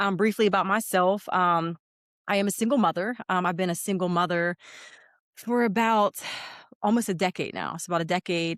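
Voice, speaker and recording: A woman with a Pittsburgh accent speaks at a medium pitch with fairly even intonation. Her speech has long, frequent pauses. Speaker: educator and single mother. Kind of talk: interview. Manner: halting, many fillers.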